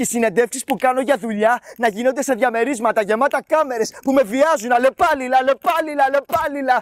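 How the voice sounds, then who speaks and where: In an extremely high pitch, a man speaks with a dramatic tone. His pace is moderate. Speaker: spoken word poet. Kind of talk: poetry slam performance, dramatic first-person monologue. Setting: stage with audience. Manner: dramatic, emotionally charged delivery.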